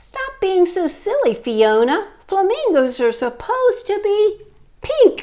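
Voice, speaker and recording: A woman speaks in a put-on character voice, squeaky and extremely high-pitched. Her pitch swings very widely at a fairly slow pace. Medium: read story. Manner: insistent, squawking.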